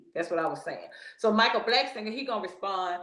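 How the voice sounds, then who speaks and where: There is audible room echo in this clip. A woman talks at a moderate pace. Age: 60s. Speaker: podcast host. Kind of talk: casual commentary. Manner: animated.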